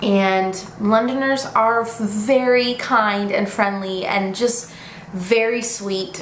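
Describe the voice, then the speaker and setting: A woman with an American accent, fairly high-pitched and very slow, amid noticeable background noise and audible room echo. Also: fairly even intonation. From United States. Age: 20s. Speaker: vlogger. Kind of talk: casual vlog update. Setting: home living room, camera.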